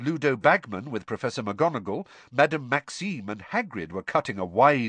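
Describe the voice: This plain reading aloud has lively intonation.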